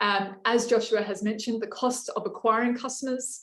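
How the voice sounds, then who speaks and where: A woman's fairly high voice in a flat monotone, delivered at a fairly quick pace. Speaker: workshop facilitator. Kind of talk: online workshop presentation. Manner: fast; many filler words.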